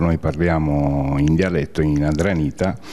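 A man speaks at a very deep, low pitch with ordinary pitch variation. There is noticeable background noise. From Sicily, Adrano. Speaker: emigrant community leader. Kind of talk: interview. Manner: halting.

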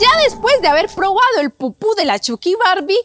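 Her pitch is extremely high, swinging very widely up and down. The woman talks at a fairly slow pace. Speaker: comedy content creator. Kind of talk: comedic skit vlog chat. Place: open country. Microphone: phone near.

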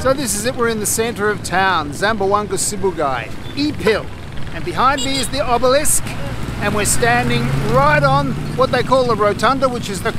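A man talks over loud background noise. The sound itself is dry, with no echo. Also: moderate pace. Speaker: travel vlogger. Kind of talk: casual vlog chat. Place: street. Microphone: phone near.

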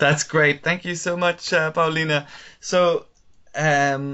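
At a fairly slow pace, a man speaks against a quiet background. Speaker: webinar moderator. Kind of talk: webinar moderation. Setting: video call. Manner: hesitant, many fillers. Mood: friendly, upbeat. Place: home room. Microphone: earbuds.

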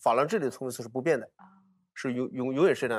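A man is speaking against a quiet background. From Hunan, Hunan-Jiangxi border; Hunan. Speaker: archaeologist; guest. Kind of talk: casual panel talk. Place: studio. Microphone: lapel.

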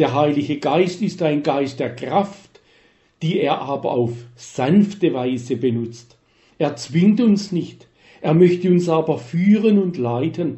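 A man talks at a very slow pace with a fairly high pitch. His intonation is lively. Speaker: retired church minister. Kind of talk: scripted narration.

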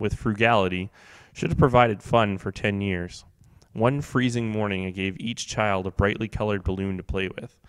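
We hear a natural reading voice here.

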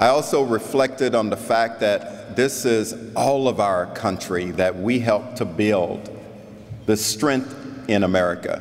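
A man speaks at a fairly slow pace. His loudness stays very even. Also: ordinary pitch variation. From South Florida. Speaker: keynote speaker, head of a national league of cities; keynote speaker. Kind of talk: keynote speech. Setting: convention stage with audience. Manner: animated. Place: hall. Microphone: podium.

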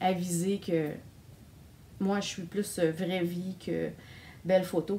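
In a Quebec accent, a woman speaks with fairly even intonation over light background noise. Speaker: knitting vlogger. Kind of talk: casual video monologue. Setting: home recording on camera. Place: home room. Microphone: phone near.

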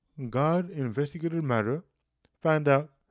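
At a fairly slow pace, a man speaks with lively intonation, a fairly high pitch and a slightly mellow tone.

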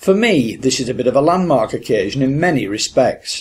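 A man speaks at a moderate pace in a medium pitch, his voice somewhat breathy and his intonation lively. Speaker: podcast host. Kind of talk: interview. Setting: fishing hut by a river.

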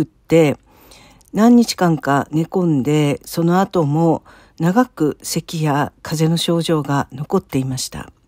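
Her voice is fairly low for a woman, with a dark, mellow tone, captured dry and close with no echo on a very clean recording with a silent background. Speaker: church member sharing faith story. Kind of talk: testimony. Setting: solo recording.

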